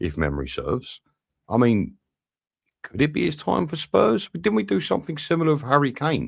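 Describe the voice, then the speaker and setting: Vocal fry and very wide swings in pitch from a man. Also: fairly quick pace. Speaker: football channel host. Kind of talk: live match watch-along commentary. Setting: live stream. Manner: animated.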